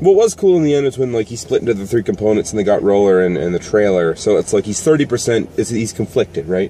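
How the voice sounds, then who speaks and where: This man speaks very fast in a fairly low pitch, his tone dark and mellow and his intonation lively, with light background noise behind him. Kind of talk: casual chat commentary. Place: car. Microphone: phone near.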